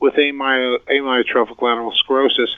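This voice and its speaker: A man talks in an ordinary speaking voice with a fairly high pitch. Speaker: podiatric physician and researcher. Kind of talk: interview discussing research.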